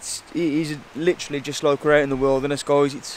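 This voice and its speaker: A man's fairly high voice in a monotone, flat intonation at a moderate pace. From West Midlands, England. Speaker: bushcraft vlogger. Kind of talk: casual walkthrough vlog. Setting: outdoors in a forest. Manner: relaxed, casual.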